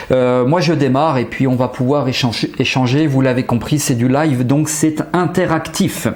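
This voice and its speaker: Amid noticeable background noise and audible room echo, a man with a fairly high pitch talks at a moderate pace with fairly even intonation, very even loudness and hardly any pauses. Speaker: hypnotherapist and trainer giving a webinar. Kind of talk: live webinar presentation. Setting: livestream with chat.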